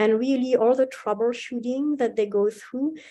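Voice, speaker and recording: Dark, mellow tone from a woman against a quiet background. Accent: French. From France. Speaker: university instructor. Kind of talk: interview.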